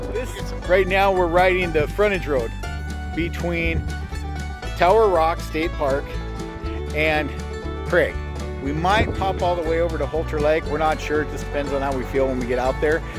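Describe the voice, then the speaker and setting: Clear music plays in the background as the speech moves at a moderate pace with long, frequent pauses and a dry sound with no echo. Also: man. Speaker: motorcycle vlogger. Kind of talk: casual vlog chat. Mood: cheerful, relaxed. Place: open country. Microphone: phone near.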